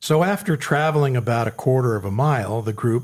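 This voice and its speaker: On a very clean recording with a silent background, a man speaks with lively intonation in a somewhat breathy voice. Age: 60s. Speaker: podcast co-host. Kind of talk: casual chat.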